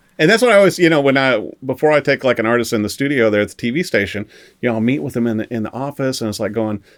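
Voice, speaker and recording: The speaker has a strong Midwestern accent. The delivery is very fast, with lively intonation. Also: man, very clean recording, silent background. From Missouri, US Midwest. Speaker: music writer and TV interviewer. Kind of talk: casual chat. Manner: animated.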